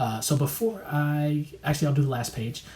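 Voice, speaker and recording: Somewhat breathy and dark, mellow in tone, the man's voice keeps a fairly even intonation. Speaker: music producer and YouTuber. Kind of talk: tutorial. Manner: fast; hesitant, many fillers.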